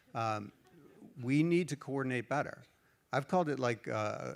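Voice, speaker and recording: A man, a plain, everyday voice, with an American accent, a moderate pace and ordinary pitch variation. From United States. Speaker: standards organization leader. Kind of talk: panel discussion.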